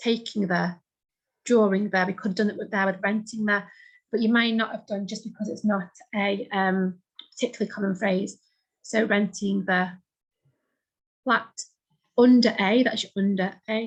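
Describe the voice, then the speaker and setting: With a British accent, a woman speaks at a moderate pace in a somewhat breathy voice, leaving long, frequent pauses. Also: medium pitch for a woman. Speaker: shorthand teacher. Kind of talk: tutorial. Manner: animated.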